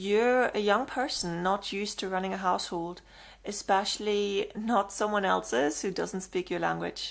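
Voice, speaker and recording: With a German accent, a woman speaks at medium pitch. Her pace is moderate, and her pitch varies in an ordinary way. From Germany. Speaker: vlogger giving advice. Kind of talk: casual advice monologue.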